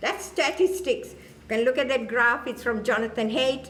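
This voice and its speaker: Over noticeable background noise and audible room echo, a woman talks in a high voice with very wide pitch swings. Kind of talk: talk to an audience. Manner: animated.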